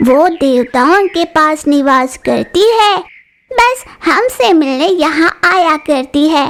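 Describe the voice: Using a cartoonish character voice, a woman with a high pitch speaks at a very slow pace.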